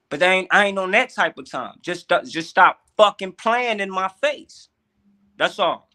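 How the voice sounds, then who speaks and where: This man speaks at a high pitch with an American accent, using a raised, projected voice at a fairly slow pace. The sound is dry and close, with no echo. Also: ordinary pitch variation, big swings in loudness. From US Midwest, St. Louis, Missouri. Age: 30s. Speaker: podcast guest. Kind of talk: casual chat. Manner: loud; animated.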